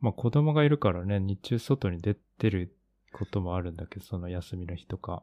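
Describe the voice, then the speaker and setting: A very deep, low, dark and mellow male voice at a moderate pace, with lively intonation and big swings in loudness, dry and close with no echo on a very clean recording with a silent background. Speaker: podcast co-host, art practitioner. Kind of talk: casual chat.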